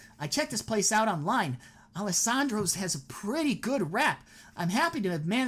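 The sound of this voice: Lively intonation in an unforced reading voice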